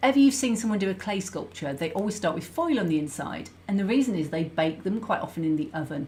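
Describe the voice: A woman's fairly low, slightly mellow voice, lively in intonation and at a fairly quick pace.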